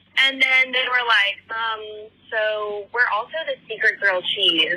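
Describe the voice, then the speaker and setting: A woman at a fairly high pitch with ordinary pitch variation and a fairly slow pace, amid noticeable background noise. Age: 30s. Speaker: voicemail caller. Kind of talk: voicemail message. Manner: casual, chatty.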